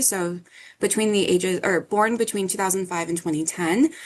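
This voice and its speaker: In an ordinary speaking voice, a woman talks at a fairly quick pace with medium pitch and ordinary pitch variation against a quiet background. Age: 20s. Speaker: academic advisor. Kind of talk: workshop presentation. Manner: casual.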